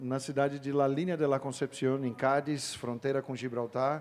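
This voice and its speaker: Here a man speaks in an ordinary speaking voice. His pitch is medium and his pace moderate. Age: 40s. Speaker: missionary pastor. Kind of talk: panel discussion.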